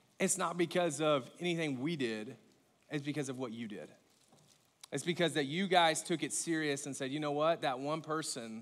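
This man talks at a moderate pace. His pitch varies in an ordinary way. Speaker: pastor. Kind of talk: sermon. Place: stage.

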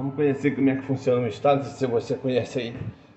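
Over noticeable background noise, a man speaks loudly in an animated tone at a fairly high pitch. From Brazil, Brasília. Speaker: truck driver vlogger. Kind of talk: casual vlog chat.

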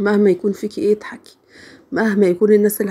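A woman speaks quietly with a dark, mellow tone. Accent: Egyptian. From Egypt. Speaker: home vlogger. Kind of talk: casual vlog narration. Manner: quiet, unable to raise voice.

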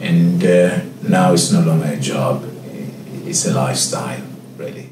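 A man talks at a moderate pace. Audible room echo and noticeable background noise are present. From Cape Town, South Africa. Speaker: head sommelier. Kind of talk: interview answer. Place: office.

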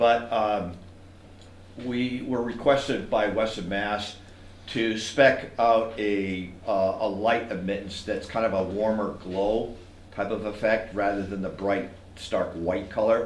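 Amid light background noise and audible room echo, a man speaks at a very slow pace with a fairly low pitch and fairly even intonation. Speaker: landscape designer; presenter. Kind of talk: technical presentation. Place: hall. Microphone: camera far.

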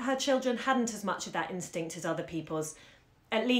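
The intonation is lively. It comes in a natural reading voice.

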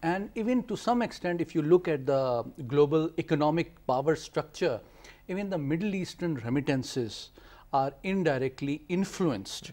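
A man with a fairly high pitch and a dark, mellow tone speaks at a moderate pace, with lively intonation and big swings in loudness. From Pakistan. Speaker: foreign policy analyst. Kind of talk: TV panel discussion. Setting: studio. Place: studio.

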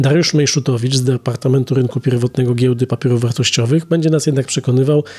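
At a very fast pace, a man speaks with a somewhat breathy voice and fairly even intonation. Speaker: business journalist, podcast host. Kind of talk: interview. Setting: outdoor business forum.

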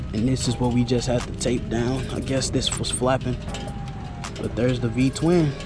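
Clear music plays in the background. The speech is fairly slow, and the sound is dry with no echo. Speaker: motorcycle vlogger. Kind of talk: casual vlog chat. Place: street. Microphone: helmet.

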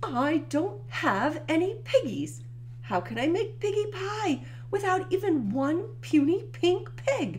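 A put-on character voice moves at a fairly slow pace against clear background noise. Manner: screeching, frustrated.

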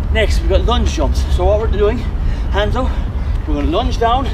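Moderate-paced male speech, backed by music. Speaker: fitness instructor. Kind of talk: workout tutorial coaching. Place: open country. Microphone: camera far.

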